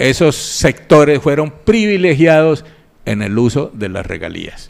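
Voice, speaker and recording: A man with a fairly high voice speaks at a fairly slow pace, his pitch swinging very widely. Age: 60s. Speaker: regional public finance expert. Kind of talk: radio interview. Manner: formal.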